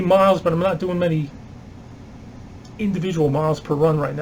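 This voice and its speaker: There is noticeable background noise. Over it, a man talks at a high pitch. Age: 60s. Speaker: retired vlogger and substitute teacher. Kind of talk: casual vlog monologue. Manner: conversational, hesitant with fillers.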